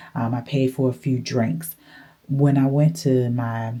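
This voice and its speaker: Lively intonation colors this woman's very deep, low voice, which has a dark, mellow tone. She speaks at a fairly slow pace with vocal fry. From northern US. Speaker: travel vlogger. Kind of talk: casual vlog monologue. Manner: animated.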